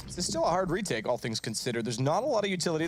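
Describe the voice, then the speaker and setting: A man talks very fast at a fairly high pitch, with an animated tone and lively intonation. Noticeable background noise runs underneath. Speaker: esports commentator. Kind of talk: live commentary. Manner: loud.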